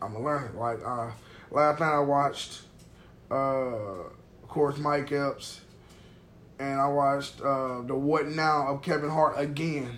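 With an American accent, a man speaks fairly slowly and with fairly even intonation in a fairly high pitch, against noticeable background noise. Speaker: comedian and podcast host. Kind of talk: casual chat. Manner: monotone on stage, by his own account.

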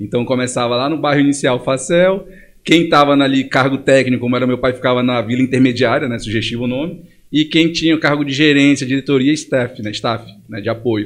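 A man talks at a fairly quick pace in a medium pitch, with ordinary pitch variation. He has a plain, everyday voice. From Brazil, Pará (Belém and Monte Dourado). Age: 30s. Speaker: entrepreneur. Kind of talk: casual interview.

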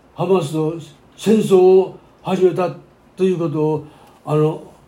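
The speech comes at a very slow pace with audible room echo. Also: man. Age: 90s. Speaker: pastor. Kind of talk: sermon.

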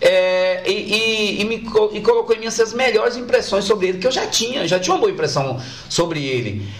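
Over noticeable background noise, a man with a high voice talks at a fairly quick pace, his pitch swinging very widely. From Brazil, Bahia (Feira de Santana). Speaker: musician and comedian. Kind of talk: casual interview chat. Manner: halting, repeated words.

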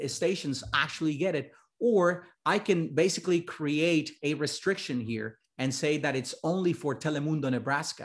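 With a Spanish accent and a fairly high pitch, a man talks at a moderate pace in an animated tone with lively intonation. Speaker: journalism professor. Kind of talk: lecture. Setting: video call.

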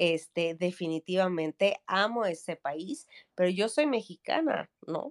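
The pace of this woman's speech is very slow. Lively intonation runs through it. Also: medium pitch for a woman, dry, close sound with no echo. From Mexico City. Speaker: entrepreneur and startup coach. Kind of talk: interview. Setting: video call from vacation in the Mexican Caribbean.

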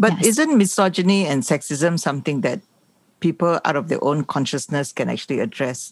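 A woman has a normal speaking voice with a fairly low pitch. She talks at a fairly quick pace with lively intonation. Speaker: podcast host for a rights organization. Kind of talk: interview discussion.

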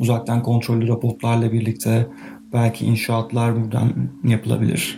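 A man's medium-pitched voice holds a monotone, flat intonation at a moderate pace while noticeable background noise runs underneath. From Turkey, Izmir. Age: 30s. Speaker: podcast host, planetary geology PhD student. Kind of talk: solo podcast monologue.

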